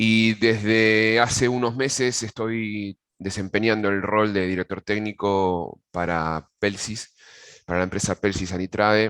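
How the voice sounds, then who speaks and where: The speaker has an Argentine accent and talks at a fairly slow pace with fairly even intonation. The sound is dry and close, with no echo. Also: man, fairly low pitch for a man. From Argentina. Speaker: agronomist giving a technical pest-control webinar. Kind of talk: webinar presentation. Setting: video call webinar. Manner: hesitant, frequent fillers and repetitions.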